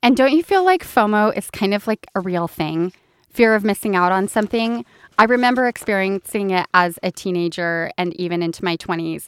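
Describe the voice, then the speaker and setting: An unremarkable speaking voice from a woman at medium pitch, moderate pace and ordinary pitch variation, in a very clean, dry, close recording with a silent background and no echo. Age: 40s. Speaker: podcast co-host and beauty business owner. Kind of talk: casual chat.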